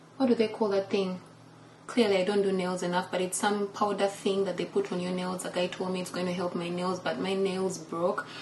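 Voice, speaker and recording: A woman speaks at a medium pitch with a Ugandan accent. Noticeable background noise is present. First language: Luganda. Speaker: lifestyle vlogger. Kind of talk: casual vlog talk.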